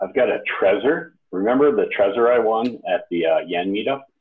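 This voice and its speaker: A man speaks at a moderate pace with hardly any pauses. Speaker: podcast host. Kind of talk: casual chat.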